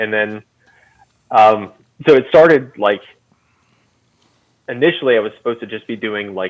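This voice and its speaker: Quiet and fairly low-pitched, the man's voice shows ordinary pitch variation. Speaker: woodworking company content director. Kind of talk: casual podcast interview. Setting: video call. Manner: loud, then quieter; filler-heavy, hesitant.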